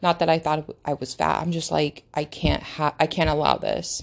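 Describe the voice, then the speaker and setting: A woman talks at a moderate pace. Behind her, the background stays quiet. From United States. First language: not English. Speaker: podcast host. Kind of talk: casual monologue. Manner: halting.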